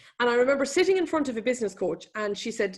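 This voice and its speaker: Very fast and full of lively intonation, a woman speaks in a fairly high voice with an Irish accent. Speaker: economist and business speaker. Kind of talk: webinar presentation. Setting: online webinar.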